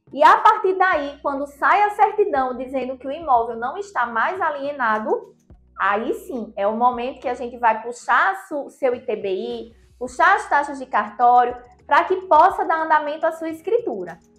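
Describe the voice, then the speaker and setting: Faint music plays in the background as a woman speaks at a high pitch and moderate pace. Her loudness swings widely. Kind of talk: explainer to camera. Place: office. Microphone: lapel.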